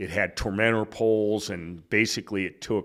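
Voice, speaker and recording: A man with an American accent talks in a normal speaking voice, fairly low in pitch with ordinary pitch variation. The recording is very clean and the background silent. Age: 60s. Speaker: retired fire chief. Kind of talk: casual interview. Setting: hotel room.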